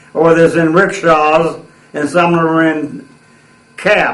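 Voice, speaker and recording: A high-pitched man with an American accent, amid audible room echo. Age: 80s+. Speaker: war veteran. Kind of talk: oral history interview. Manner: halting.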